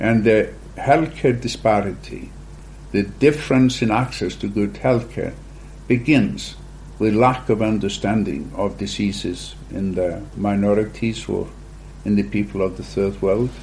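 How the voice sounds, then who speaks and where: This man has an Icelandic accent. He speaks at a fairly slow pace. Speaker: genetics company founder. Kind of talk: interview.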